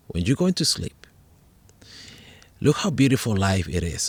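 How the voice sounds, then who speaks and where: A man with a Spanish accent in an animated tone, in a very clean recording with a silent background. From Puerto Rico, rural hills. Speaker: podcast host and meditation teacher. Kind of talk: casual chat. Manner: halting, repeats words.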